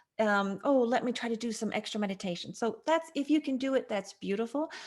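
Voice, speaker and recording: A woman with a fairly high pitch speaks in an animated tone. Her pitch varies in an ordinary way. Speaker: astrology radio host. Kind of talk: solo radio talk on astrology.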